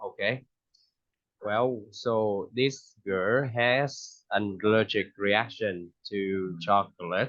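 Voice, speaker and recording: The speaker has a Vietnamese accent and fairly even intonation. The background is quiet. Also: man. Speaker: English teacher. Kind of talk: online English lesson.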